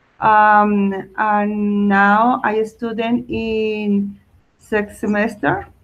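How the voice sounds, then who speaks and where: A woman with a Colombian accent speaks at a very slow pace, her fairly high voice in a monotone, flat intonation. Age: 20s. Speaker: student. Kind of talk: self-introduction in English class. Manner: halting.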